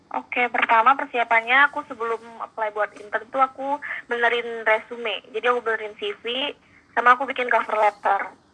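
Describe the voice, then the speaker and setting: Against noticeable background noise, a woman talks at a fairly quick pace with a fairly high pitch and monotone, flat intonation. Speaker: exchange student and marketing intern. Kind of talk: casual interview.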